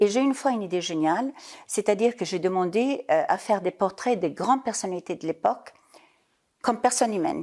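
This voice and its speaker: A woman with a German accent speaks at a fairly quick pace in a dark, mellow tone with lively intonation, on a very clean recording with a silent background. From Italy (Parma). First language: German (speaking French). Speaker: business leader, former journalist. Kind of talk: interview.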